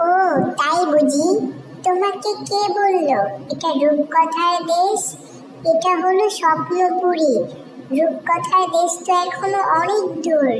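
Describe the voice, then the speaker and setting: A cartoonish character voice pitched extremely high. Background noise is clearly audible. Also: fairly slow pace. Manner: warm, chatty.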